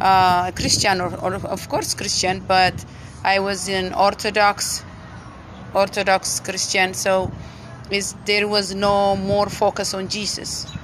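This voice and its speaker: A woman with an Ethiopian accent speaks at a very slow pace and medium pitch with monotone, flat intonation. Noticeable background noise runs underneath. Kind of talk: testimony.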